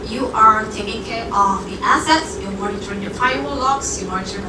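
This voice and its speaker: A woman speaks over loud background noise. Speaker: guest lecturer. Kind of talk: lecture. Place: hall. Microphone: camera far.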